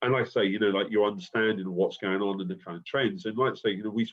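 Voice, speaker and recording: In a London accent, a man with a fairly low pitch talks at a very fast pace with lively intonation. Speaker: university lecturer. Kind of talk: recorded lecture conversation. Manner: hesitant, many fillers.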